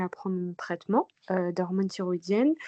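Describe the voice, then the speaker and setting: With an unremarkable speaking voice, a woman talks at a fairly quick pace and medium pitch, her intonation fairly even and the sound dry and close with no echo. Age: 30s. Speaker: patient sharing testimony. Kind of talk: testimony.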